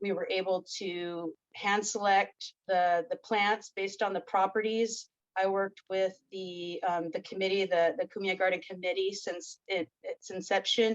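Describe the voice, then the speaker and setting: In a dry, close sound with no echo, a woman talks at a fairly slow pace with fairly even intonation. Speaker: ethnobotany instructor. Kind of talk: conference presentation.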